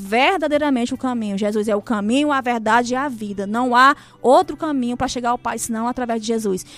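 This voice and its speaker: High-pitched woman's voice at a fairly quick pace, ordinary pitch variation, hardly any pauses. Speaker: churchgoer sharing conversion story. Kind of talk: testimony. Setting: radio studio.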